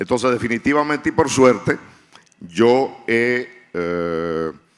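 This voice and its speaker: At a very slow pace, a man talks with lively intonation at a medium pitch. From Dominican Republic. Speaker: writer. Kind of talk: panel discussion.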